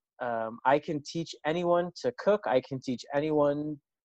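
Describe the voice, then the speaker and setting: This man has a plain, everyday voice, fairly high in pitch, with fairly even intonation and a moderate pace, recorded with a dry, close sound and no echo. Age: 40s. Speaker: hospitality management professor. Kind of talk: casual interview.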